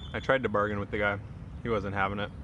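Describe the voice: A man talks at a fast pace in a fairly low pitch, with little pitch movement.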